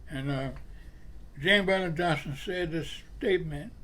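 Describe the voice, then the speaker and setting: A man speaks with a Florida accent. His pitch varies in an ordinary way. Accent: Southern US (Florida). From Jacksonville, Florida. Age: 80s+. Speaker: civil rights leader, Navy veteran, retired postal worker. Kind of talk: interview answer, personal storytelling.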